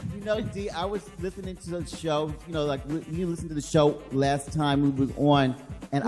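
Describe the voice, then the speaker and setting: With music in the background, this man talks at a moderate pace, his fairly high voice showing ordinary pitch variation. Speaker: podcast guest. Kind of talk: casual, slangy.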